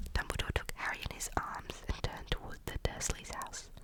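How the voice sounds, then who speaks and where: Noticeable background noise surrounds a woman whispering at a moderate pace. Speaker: ASMR creator. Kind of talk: ASMR book reading. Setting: outdoors. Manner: soft-spoken, calm.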